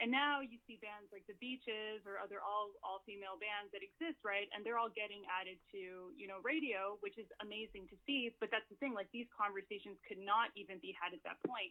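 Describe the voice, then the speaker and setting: With a Canadian accent, a woman in a plain, everyday voice talks at a fairly quick pace and a medium pitch, with ordinary pitch variation and hardly any pauses. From Canada, Mexican household. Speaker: musician. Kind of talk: interview.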